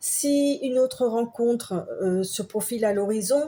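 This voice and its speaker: A woman speaks very slowly in a somewhat breathy voice with a dark, mellow tone and ordinary pitch variation. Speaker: tarot card reader. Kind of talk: tarot reading. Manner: halting.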